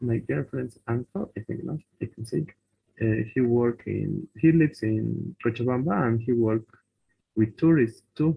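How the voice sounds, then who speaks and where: Ordinary pitch variation at a fairly slow pace. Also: man, medium pitch for a man. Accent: Bolivian. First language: Spanish. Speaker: language student. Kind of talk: casual chat in English class. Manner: halting.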